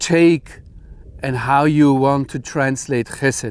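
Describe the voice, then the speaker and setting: Speech in a German accent comes at a very slow pace with fairly even intonation. The recording is very clean with a silent background. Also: man. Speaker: Bible teacher. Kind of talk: bible teaching talk.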